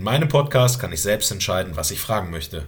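A man speaks at a fairly quick pace with very wide pitch swings. His voice has vocal fry. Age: 30s. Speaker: podcast host, military police instructor. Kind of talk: scripted podcast trailer.

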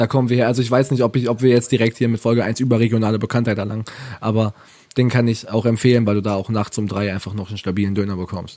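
A man speaks very fast at a medium pitch, his dark, mellow tone held in a flat, monotone delivery. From Ravensburg, Swabia (southern Germany). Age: 20s. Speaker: podcast co-host. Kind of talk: casual chat.

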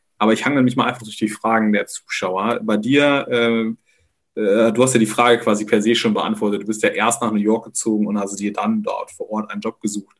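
Speaking fairly quickly, a man keeps a medium pitch and a monotone, flat intonation. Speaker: podcast co-host. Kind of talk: casual chat.

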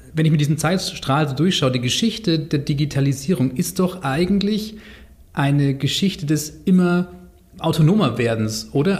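With lively intonation and a fairly high pitch, a man talks at a moderate pace in an ordinary speaking voice. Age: 30s. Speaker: podcast host, journalist. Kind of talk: casual chat.

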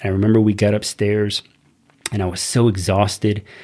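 Somewhat breathy man with a fairly low pitch and a dark, mellow tone. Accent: Texan. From Texas, Corpus Christi. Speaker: army veteran. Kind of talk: casual chat.

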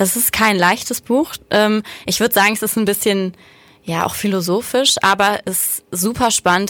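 This woman's voice sits at a medium pitch. She delivers her words in a flat, monotone way. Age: 20s. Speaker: podcast co-host. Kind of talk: casual chat. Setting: studio.

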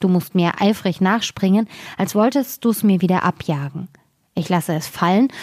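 At a moderate pace, a woman uses an ordinary speaking voice at medium pitch with ordinary pitch variation, captured in a very clean recording with a silent background and a dry, close sound with no echo. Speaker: fairy tale reader. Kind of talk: fairy tale reading aloud, scripted narration. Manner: storytelling, expressive, changing tone for characters.

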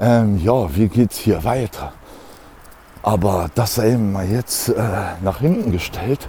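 The speech moves at a very slow pace with long, frequent pauses, ordinary pitch variation and very even loudness. Noticeable background noise runs underneath. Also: man, fairly low pitch for a man. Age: 40s. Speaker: solo podcaster. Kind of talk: casual monologue while walking. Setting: outdoors, walking. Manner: halting, many fillers.

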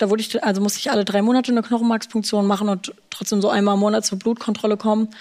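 Very fast speech from a woman at a medium pitch, with fairly even intonation. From Germany, Frankfurt. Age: 20s. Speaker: leukemia survivor, stem cell recipient. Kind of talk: interview, personal story.

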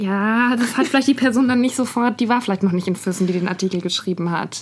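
Talking at a fairly quick pace, a woman sounds somewhat breathy. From Nuremberg, Franconia, Germany. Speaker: podcast co-host, journalist. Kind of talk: casual chat. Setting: studio.

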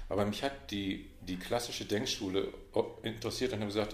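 Against audible room echo, a man talks at a very fast pace with a fairly low pitch and ordinary pitch variation. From Westphalia, Münster. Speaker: management consultant. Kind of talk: casual interview. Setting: in-person meeting in Munich.

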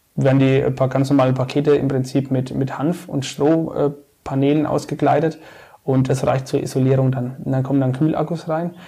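Somewhat breathy and dark, mellow in tone, a man speaks at a fairly high pitch and moderate pace with monotone, flat intonation. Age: 30s. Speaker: civil engineering project manager and regional marketplace founder. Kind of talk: casual interview.

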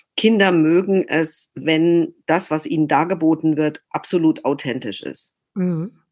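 A woman with an unremarkable speaking voice talks at a fairly slow pace, her fairly low pitch moving with ordinary variation. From southern Germany, Baden. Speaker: opera director and author. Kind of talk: casual interview.

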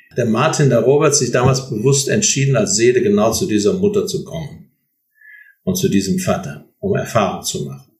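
A man speaks at a moderate pace with vocal fry and a fairly high pitch. His pitch swings very widely. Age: 60s. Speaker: author and seminar leader, psychologist. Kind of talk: interview.

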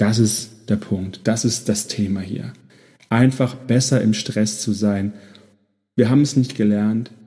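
A man's somewhat breathy, dark and mellow voice, fairly low in pitch, very slow, with fairly even intonation and long, frequent pauses. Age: 30s. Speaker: podcast host, burnout prevention coach. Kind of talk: solo podcast introduction monologue.

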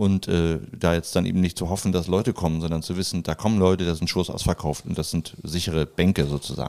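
Very deep and low in pitch with a dark, mellow tone, a man speaks at a very fast pace with hardly any pauses and fairly even intonation. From Hamburg, Germany. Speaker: a cappella comedy singer. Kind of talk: casual chat.

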